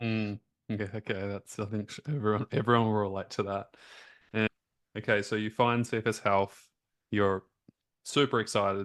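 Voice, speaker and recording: A monotone, flat delivery in an Australian accent, at a moderate pace with long, frequent pauses, in a dry, close sound with no echo and a quiet background. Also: man, fairly low pitch for a man. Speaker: health coach and interviewer. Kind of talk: interview conversation.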